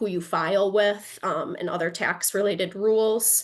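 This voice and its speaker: Using an ordinary speaking voice, a woman talks at a medium pitch with ordinary pitch variation. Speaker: attorney, presenter. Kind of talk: lecture.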